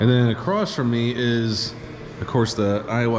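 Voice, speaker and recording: This man speaks at a medium pitch, with audible room echo and noticeable background noise. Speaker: travel vlogger touring historic sites. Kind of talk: walking tour vlog. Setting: indoors in a state capitol building. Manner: animated; quiet voice.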